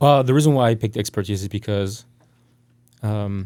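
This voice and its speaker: This man speaks at a moderate pace with a French accent, a fairly low pitch and ordinary pitch variation, on a very clean recording with a silent background. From France. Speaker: tech startup CEO. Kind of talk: podcast interview.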